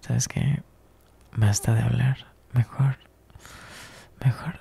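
A man puts on a character voice with vocal fry, a husky, rough edge and a dark, mellow tone. His pitch is medium, his intonation fairly even and his pace slow.

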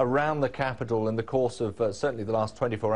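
Keeping a moderate pace, a man speaks with ordinary pitch variation. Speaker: news anchor. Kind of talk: news presenting. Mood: serious, urgent. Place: studio.

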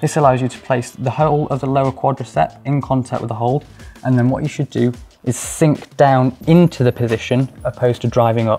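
A man at a fairly quick pace with fairly even intonation, faint music in the background. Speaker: climbing coach. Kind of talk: tutorial. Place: home room. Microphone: lapel.

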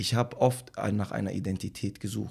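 His pitch is very deep and low, with vocal fry. This man's pitch swings very widely. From Germany, Tübingen area; Germany. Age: 20s. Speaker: rapper; interviewee. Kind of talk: casual interview. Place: home room. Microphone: studio mic.

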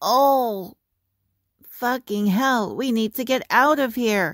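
A female-sounding cartoonish character voice speaks at a high pitch. The pace is very slow.

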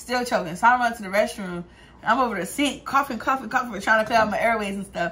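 A woman talks at a very fast pace, her pitch varying in an ordinary way. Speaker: vlogger. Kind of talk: casual vlog chat, storytelling. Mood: amused, laughing storyteller. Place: home room. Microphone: phone near.

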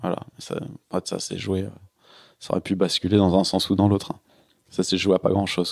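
Heard dry and close with no echo, a man with a very deep, low pitch talks in a monotone, flat intonation, his loudness swinging widely and his speech broken by long, frequent pauses. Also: moderate pace. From Paris suburbs, France. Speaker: professional offshore sailor. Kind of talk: podcast interview. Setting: house in Lorient. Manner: halting, many fillers.

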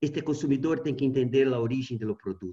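Over a quiet background, a man speaks in a dark, mellow tone that is somewhat breathy. His intonation is lively. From Brazil. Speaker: university researcher; presenter. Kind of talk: presentation of survey results. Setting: video call.

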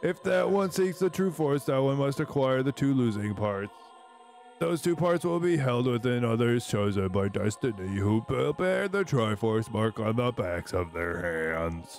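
Clear music plays in the background. The speaker uses a put-on character voice at a moderate pace. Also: man, medium pitch for a man. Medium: fan dub. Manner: solemn, portentous, parodied.

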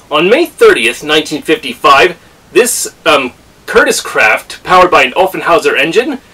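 Speaking at a moderate pace, a man's voice swings widely in loudness. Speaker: racing fan vlogger. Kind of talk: casual vlog chat. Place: home room. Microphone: camera far.

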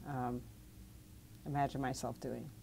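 A woman speaks with an American accent over light background noise. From New York City (Brooklyn). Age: 60s. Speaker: physician and medical researcher. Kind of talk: interview. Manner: halting, many fillers and restarts. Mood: calm, reflective. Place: studio. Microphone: lapel.

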